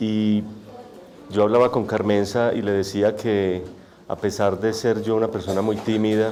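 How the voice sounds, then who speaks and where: A soft-spoken man with a fairly low pitch and monotone, flat intonation, at a fairly slow pace with long, frequent pauses, amid noticeable background noise and audible room echo. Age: young. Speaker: poet and author. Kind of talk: testimony. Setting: auditorium with audience, microphone.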